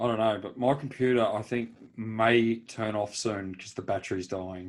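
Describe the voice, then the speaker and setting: A man at a moderate pace with fairly even intonation, in an Australian accent. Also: medium pitch for a man, big swings in loudness. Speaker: podcast co-host. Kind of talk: casual chat.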